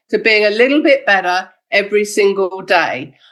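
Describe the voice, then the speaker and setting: A woman talks in a plain, everyday voice at medium pitch. Her intonation is lively and her pace moderate. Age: 60s. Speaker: network marketing distributor and trainer. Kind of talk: motivational training talk. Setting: video call.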